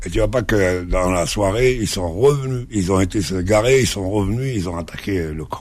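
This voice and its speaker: Delivered at a moderate pace with hardly any pauses, the speech comes over noticeable background noise. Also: man, fairly low pitch for a man, ordinary pitch variation. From Algeria, Kabylie village then Algiers. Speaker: journalist and actor. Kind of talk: radio interview.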